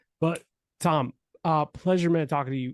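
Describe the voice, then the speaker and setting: The man's pitch is fairly high, with ordinary variation, and his pace is fairly quick. The sound is dry and close with no echo, over a quiet background. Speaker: podcast host. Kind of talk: casual chat. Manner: fast; animated.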